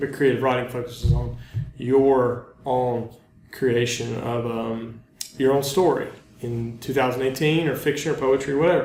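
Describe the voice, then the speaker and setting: Amid noticeable background noise and audible room echo, a man with a Southern US accent talks at a medium pitch and a moderate pace, his intonation fairly even. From North Carolina, US South. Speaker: teacher. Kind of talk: lecture. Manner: hesitant, many ums and uhs.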